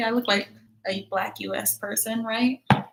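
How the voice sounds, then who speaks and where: A woman speaks with an American accent in a normal speaking voice. Her pitch is fairly high and her intonation fairly even. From US. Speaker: YouTuber live streamer. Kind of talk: casual live stream chat. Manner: casual, filler-heavy.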